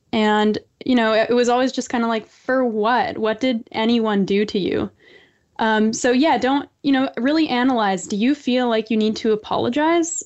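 A woman with a Canadian accent talks at a moderate pace. Her pitch is high and her loudness very even. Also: ordinary pitch variation. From Canada. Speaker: author and columnist. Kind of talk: interview.

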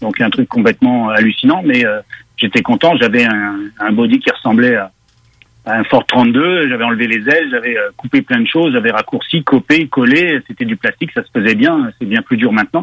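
Speaking at a moderate pace, a man uses medium pitch with ordinary pitch variation. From Quebec. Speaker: car journalist. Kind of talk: casual chat.

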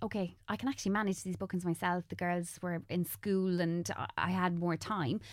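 In a very clean recording with a silent background, a woman speaks with an Irish accent at medium pitch. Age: 30s. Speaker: makeup artist and content creator. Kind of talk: casual interview chat.

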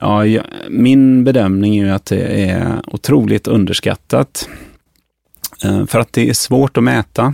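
A man speaks at a very slow pace in a medium pitch with a dark, mellow tone. The sound is dry and close, with no echo. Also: ordinary pitch variation. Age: 50s. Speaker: physician and pharmacology researcher. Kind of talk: interview.

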